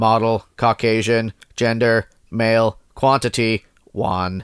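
A man puts on a character voice, speaking at a fairly slow pace with medium pitch. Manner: mechanical, monotone.

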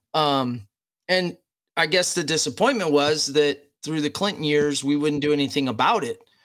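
A plain, everyday voice from a man, fairly high in pitch, at a moderate pace on a very clean recording with a silent background. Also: ordinary pitch variation. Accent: American. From United States. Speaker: special operations veteran. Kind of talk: casual interview.

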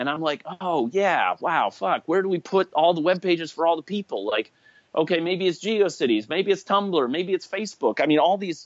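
In an unremarkable speaking voice, a man talks at a moderate pace with lively intonation. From US Midwest (Chicago). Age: 40s. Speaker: internet pioneer, early blogger. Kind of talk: interview conversation. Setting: remote call (Skype).

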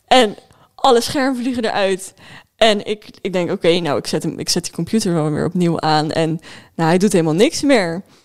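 A woman with an ordinary speaking voice, at a fairly quick pace and with lively intonation. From Netherlands, Spijkenisse (Rotterdam area). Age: 20s. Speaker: livestreamer and student. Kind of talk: casual chat.

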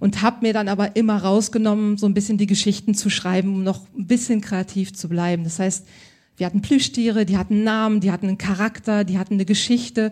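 A woman talks at a very fast pace with a medium pitch. Her voice is somewhat breathy, and her intonation stays fairly even. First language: bilingual German and French (speaking German). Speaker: stylist. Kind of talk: live podcast interview. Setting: stage with audience.

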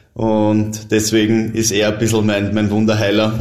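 In a Viennese accent, a man speaks at a fairly low pitch. Room echo is audible. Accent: Viennese Austrian German. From Austria, Vienna. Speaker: professional footballer. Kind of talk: casual interview.

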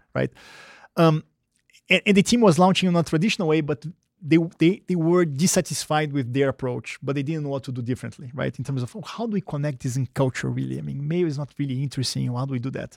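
A man talks very fast with a Brazilian accent, his pitch fairly high and its variation ordinary. The sound is dry and close with no echo, on a very clean recording with a silent background. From Brazil, Rio de Janeiro. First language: Portuguese. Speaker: marketing executive. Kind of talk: interview. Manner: hesitant, many fillers.

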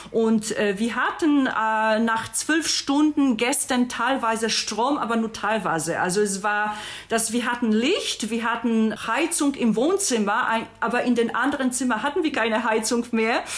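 A woman with a Polish accent talks at a fairly slow pace and fairly high pitch, with ordinary pitch variation and very even loudness, against noticeable background noise. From Poland. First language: Polish (speaking German). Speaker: podcast guest, friend of host. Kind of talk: casual chat.

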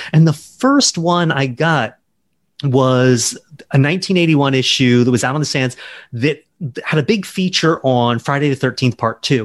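Here is an ordinary speaking voice with an American accent. The pace is moderate and the pitch varies in an ordinary way. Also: man, fairly high pitch for a man. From US South, Charleston, South Carolina. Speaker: novelist. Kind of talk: interview.

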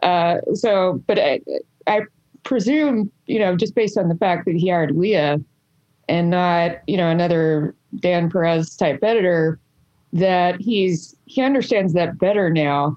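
A woman with an American accent speaks in an ordinary speaking voice, fairly low in pitch, with ordinary pitch variation and very even loudness. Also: fairly slow pace. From Alabama, US South. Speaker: journalist and editor. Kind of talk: interview conversation.

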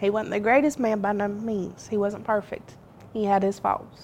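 At medium pitch and a moderate pace, a woman talks with a Southern US accent. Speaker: daughter of a slain police officer. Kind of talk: interview.

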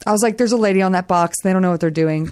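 A woman talks in a plain, everyday voice with an American accent. Her medium pitch shows ordinary variation. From Texas. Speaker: comedian and podcast co-host. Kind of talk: casual chat.

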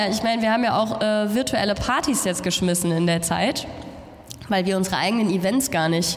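A woman talks at medium pitch amid noticeable background noise. Audible room echo fills the space. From Germany. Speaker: radio presenter. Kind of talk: interview on stage. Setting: stage with audience.

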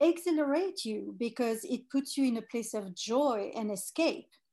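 A woman with a French accent speaks with lively intonation and a dark, mellow tone against a quiet background. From France. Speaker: fragrance executive. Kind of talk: interview.

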